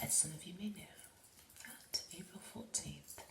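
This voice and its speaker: A woman whispers at a fairly slow pace in a relaxed tone. Noticeable noise runs in the background. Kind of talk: ASMR rambling, casual talk about Titanic memorabilia. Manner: soft, relaxed, ASMR style.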